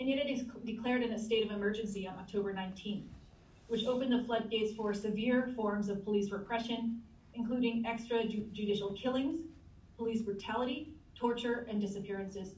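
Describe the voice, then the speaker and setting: Somewhat breathy speech moves at a moderate pace with fairly even intonation. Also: woman, fairly high pitch for a woman. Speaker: anthropology professor. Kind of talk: panel discussion. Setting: video call.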